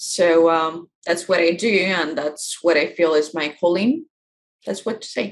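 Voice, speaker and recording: This woman has a Russian accent and a fairly low pitch. She talks at a fairly slow pace with fairly even intonation. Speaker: life coach. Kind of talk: interview. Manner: halting.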